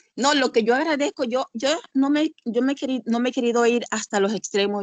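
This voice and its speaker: An animated woman speaks at a fairly quick pace and fairly high pitch, in a dry, close sound with no echo. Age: 60s. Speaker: church member sharing experience. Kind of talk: testimony.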